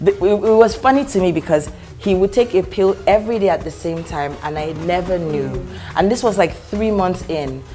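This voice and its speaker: Faint music plays in the background as a woman talks at a moderate pace with ordinary pitch variation. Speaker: talk show guest. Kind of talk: interview answer. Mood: warm, jokey. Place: studio.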